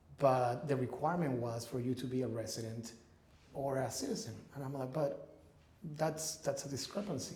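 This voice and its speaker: Amid noticeable background noise and audible room echo, a man talks at a fairly quick pace with medium pitch and fairly even intonation. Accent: Spanish. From Ecuador. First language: Spanish. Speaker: real estate investor. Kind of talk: interview. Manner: halting.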